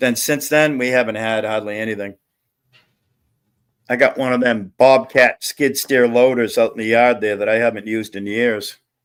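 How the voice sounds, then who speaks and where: A normal speaking voice, fairly even in intonation, at a moderate pace. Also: man, medium pitch for a man, very clean recording, silent background. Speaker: panel guest. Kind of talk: casual chat.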